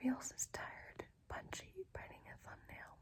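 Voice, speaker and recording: A woman whispers at a fairly slow pace. Her tone is relaxed. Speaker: ASMR creator. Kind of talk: book reading, fiction narration. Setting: lo-fi recording without a proper microphone. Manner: soft, relaxed, whispery.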